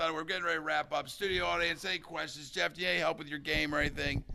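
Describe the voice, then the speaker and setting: A man is speaking. His pace is very fast. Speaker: livestream host. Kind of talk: casual chat. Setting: studio with audience.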